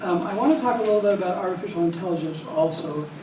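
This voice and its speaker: Heard through audible room echo and noticeable background noise, a man with a high pitch and ordinary pitch variation speaks at a very fast pace. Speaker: statistics professor giving a plenary talk. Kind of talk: lecture. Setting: small room with audience. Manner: hesitant, many fillers.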